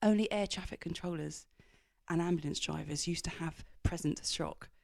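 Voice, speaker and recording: Her intonation fairly even, a woman speaks at a fairly low pitch. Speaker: business executive and author. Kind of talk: interview. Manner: fast.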